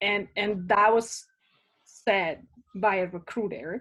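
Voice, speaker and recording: In a very clean recording with a silent background, a woman with a Spanish accent speaks very slowly at a medium pitch with fairly even intonation. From Spain, small town. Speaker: immigrant interviewee. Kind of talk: casual interview.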